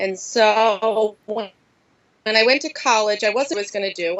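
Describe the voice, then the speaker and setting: This woman speaks with a Philadelphia accent. She keeps a moderate pace. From Philadelphia, US. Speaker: high school Spanish teacher. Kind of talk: podcast interview.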